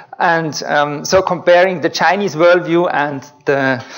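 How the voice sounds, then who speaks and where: This man has a Swiss German accent. His fairly high voice shows ordinary pitch variation. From Switzerland. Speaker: researcher. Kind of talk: lecture.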